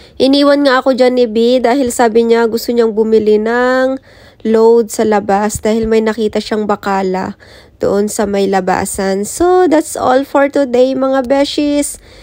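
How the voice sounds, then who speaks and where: A woman's words come out at a very slow pace, and her pitch varies in an ordinary way. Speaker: vlogger. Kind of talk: casual vlog narration.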